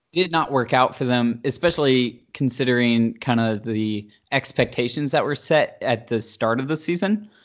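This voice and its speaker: A man's medium-pitched voice, an ordinary speaking voice, at a moderate pace with hardly any pauses and ordinary pitch variation. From US South, Charlotte, North Carolina. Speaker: sports fan guest. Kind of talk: casual chat.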